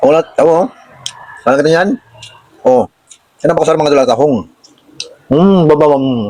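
This man talks at a fairly slow pace with a fairly high pitch, ordinary pitch variation, big swings in loudness and long, frequent pauses, in a dry, close sound with no echo. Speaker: vlogger.

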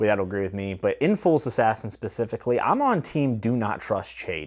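A man talking at a fairly quick pace against a quiet background. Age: 30s. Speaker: booktuber reviewing fantasy novels. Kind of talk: solo video review. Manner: casual and conversational. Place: home room. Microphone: lapel.

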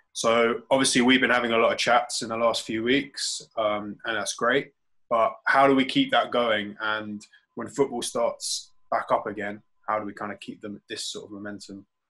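A man talks at a moderate pace, his loudness swinging widely. The background stays quiet. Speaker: podcast co-host. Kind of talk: casual chat. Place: home room. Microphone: video call.

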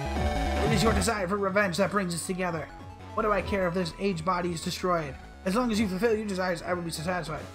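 A strained, put-on character voice races along at a very fast pace at middle pitch. Clear music plays in the background.

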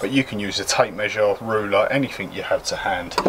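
A man's fairly quick speech plays out against noticeable background noise. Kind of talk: tutorial. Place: garden.

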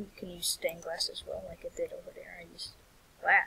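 Noticeable background noise runs beneath speech delivered at a moderate speed. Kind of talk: game tutorial narration. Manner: casual, rambling.

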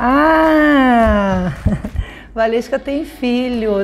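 Over music in the background, a woman with a Rio de Janeiro accent speaks at a fairly high pitch with ordinary pitch variation. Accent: Carioca Brazilian Portuguese. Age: 30s. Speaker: funk singer. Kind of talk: casual interview answer. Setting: at home. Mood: playful, amused. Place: home room.

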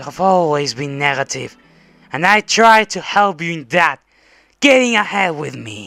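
Over music in the background, a man does a put-on character voice at a high pitch. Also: moderate pace. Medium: dub. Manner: insistent, threatening.

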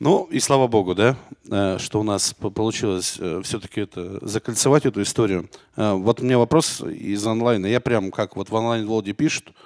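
Over a quiet background, a man with a medium pitch speaks at a moderate pace with ordinary pitch variation. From Arkhangelsk region, northern Russia. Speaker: talk show host. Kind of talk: live talk show. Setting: studio with live audience. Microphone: handheld.

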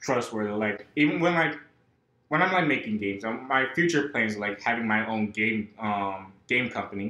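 A man speaks at a moderate pace with audible echo in the room. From North Carolina (born in New York). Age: 20s. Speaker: college student, game developer; podcast guest. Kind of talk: casual interview. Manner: halting, many fillers. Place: home room. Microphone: camera far.

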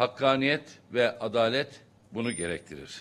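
This man talks at a fairly slow pace. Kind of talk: press conference statement. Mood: critical, formal. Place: hall.

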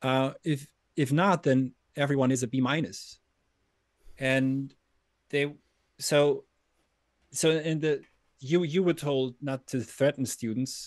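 Speech moves at a very slow pace, with long, frequent pauses and fairly even intonation. The background is quiet. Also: man, fairly high pitch for a man. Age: 30s. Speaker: philosophy teacher. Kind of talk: casual conversation. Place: home room.

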